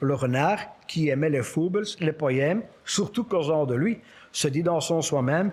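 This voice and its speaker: A man with a fairly high voice talks fairly slowly, his pitch varying in an ordinary way. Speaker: storyteller. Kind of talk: humorous fable reading.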